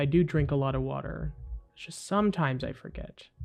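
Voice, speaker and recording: With background music playing, the talking moves along rather quickly. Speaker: gaming youtuber. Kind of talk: gameplay commentary. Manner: rambling, many fillers and restarts; casual, chatty.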